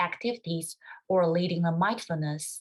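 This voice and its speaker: In a Chinese accent, a woman speaks at a medium pitch and a moderate pace with fairly even intonation. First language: Mandarin Chinese. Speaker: music doctoral student. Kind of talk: webinar presentation.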